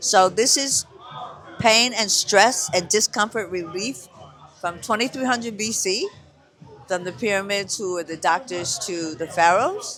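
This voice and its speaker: Over noticeable background noise, a raised, projected voice talks at a fairly slow pace with ordinary pitch variation. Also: man, high pitch for a man. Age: 70s. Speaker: hand healer and vendor. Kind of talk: casual chat.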